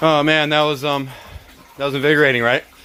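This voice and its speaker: Noticeable background noise runs under this clip. A man with a fairly high pitch speaks at a moderate pace. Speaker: home gardener keeping chickens. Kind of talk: casual talk to camera. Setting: outdoors. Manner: hesitant, pauses and stutters; excited yelling.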